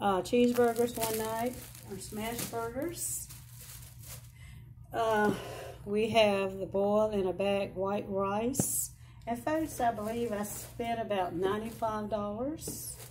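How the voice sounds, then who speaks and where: Over noticeable background noise, a woman speaks at a very slow pace with ordinary pitch variation and long, frequent pauses. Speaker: home vlogger. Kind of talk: casual vlog chat. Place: home room. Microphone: phone near.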